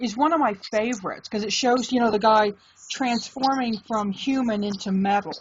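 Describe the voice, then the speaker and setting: A woman speaks at a fairly quick pace in a fairly high voice, her pitch moving in an ordinary way over noticeable background noise. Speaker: tarot reader. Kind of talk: casual video chat interview.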